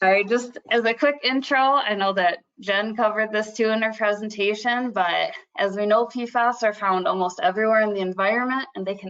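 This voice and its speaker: At a fairly quick pace, a woman with a fairly high pitch speaks in a Midwestern accent. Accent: Midwest. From Michigan, US Midwest. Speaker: environmental agency scientist. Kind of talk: webinar presentation.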